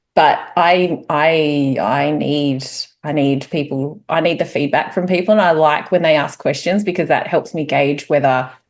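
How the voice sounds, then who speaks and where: A woman with an Australian accent, a very deep, low pitch, fairly even intonation and a fairly slow pace. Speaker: spiritual course teacher. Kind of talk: casual chat.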